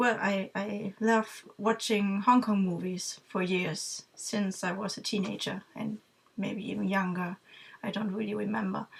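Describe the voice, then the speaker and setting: A woman in a German accent, medium pitch, monotone and flat, at a fairly slow pace. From Germany. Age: 30s. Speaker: vlogger, music fan. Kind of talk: casual talk to camera. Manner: halting, many fillers.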